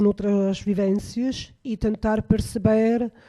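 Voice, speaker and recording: In a very clean recording with a silent background, a woman with an Italian accent speaks very slowly in a dark, mellow tone with monotone, flat intonation. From Italy. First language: Italian (speaking Portuguese). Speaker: researcher. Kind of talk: panel discussion. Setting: radio studio. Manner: halting, many fillers.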